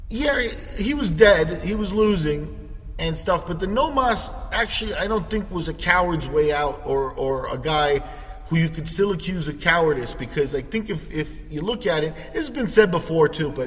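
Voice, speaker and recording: A man's high-pitched, lively voice at a moderate pace, with audible room echo and noticeable background noise. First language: Spanish. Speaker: podcast host. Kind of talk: casual chat. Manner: halting, many fillers.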